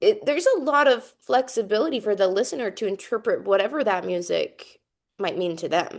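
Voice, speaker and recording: A fairly high-pitched woman with a Utah accent, fairly quick pace and very wide pitch swings against a quiet background. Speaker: composer and music educator. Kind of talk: presentation to students over video call. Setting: video call. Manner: casual, with many fillers.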